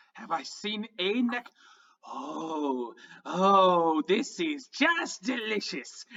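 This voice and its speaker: This put-on character voice is croaky and middle-pitched, delivered at a very slow pace. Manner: gleeful, delighted.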